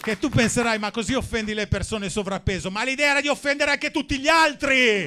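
A man's raised, projected voice at an extremely high pitch, with lively intonation, a fairly quick pace and hardly any pauses. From Milan, northern Italy. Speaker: stand-up comedian. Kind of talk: stand-up. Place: stage. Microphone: handheld.

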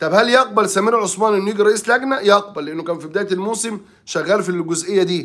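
A man talks at a moderate pace with a high pitch and lively intonation. The background is quiet. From Egypt. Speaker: sports journalist. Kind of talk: sports talk commentary. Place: office. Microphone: phone near.

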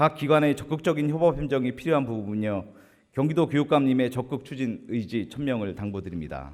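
A man with an unremarkable speaking voice, medium pitch, lively intonation and a fairly quick pace. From South Korea, Gimpo (Gyeonggi). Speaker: provincial assembly member. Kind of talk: formal floor speech. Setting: assembly chamber. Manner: formal.

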